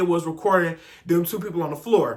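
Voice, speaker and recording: A man speaks in a raised, projected voice with an animated, bright, sharp tone. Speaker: youtuber telling personal stories, former school staff. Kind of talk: story time monologue. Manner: stuttering at times.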